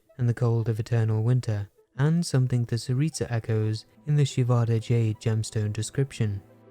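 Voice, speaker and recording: Music plays in the background as a man speaks in a monotone, flat intonation. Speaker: game lore video creator. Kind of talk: lore explainer narration.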